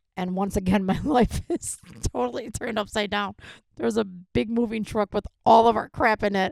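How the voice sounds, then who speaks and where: A woman's medium-pitched voice with an American accent, lively intonation and vocal fry, on a very clean recording with a silent background and a dry, close sound with no echo. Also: moderate pace. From New York City, the Bronx. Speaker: podcast guest, mother of host. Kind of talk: casual chat.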